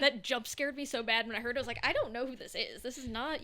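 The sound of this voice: A woman with an American accent speaks very fast in a raised, projected voice that is high-pitched, bright and sharp. Her intonation is fairly even while her loudness swings widely.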